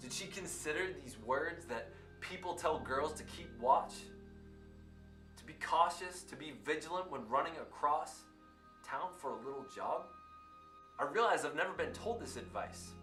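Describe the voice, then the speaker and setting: Over music in the background, a man with a fairly high pitch and lively intonation speaks at a moderate pace, leaving long, frequent pauses. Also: big swings in loudness. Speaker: teacher; spoken word poet. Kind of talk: spoken word poetry performance.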